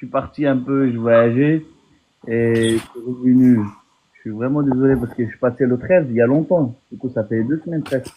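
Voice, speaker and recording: A man with a non-native accent, medium in pitch, at a moderate pace with fairly even intonation and big swings in loudness. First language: not French (speaking French). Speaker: naturalisation candidate, former police officer abroad. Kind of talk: casual chat. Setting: phone call. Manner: halting. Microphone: far from the mic, too quiet.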